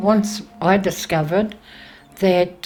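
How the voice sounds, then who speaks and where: At a very slow pace, a woman speaks in a medium pitch with fairly even intonation. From New Zealand, Māori. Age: 70s. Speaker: Māori elder and cultural teacher. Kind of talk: documentary interview. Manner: hesitant, with fillers.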